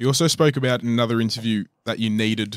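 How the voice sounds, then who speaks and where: On a very clean recording with a silent background and a dry, close sound with no echo, a man with an Australian accent talks fairly quickly with fairly even intonation. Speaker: podcast host. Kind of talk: interview.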